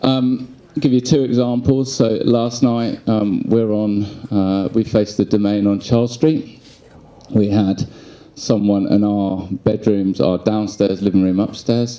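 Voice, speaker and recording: A man with a London accent speaks at a fairly low pitch and a fairly slow pace, his tone dark and mellow. His intonation is fairly even and his loudness very even. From England, London. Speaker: resident speaking at community meeting. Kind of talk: testimony. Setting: public community meeting.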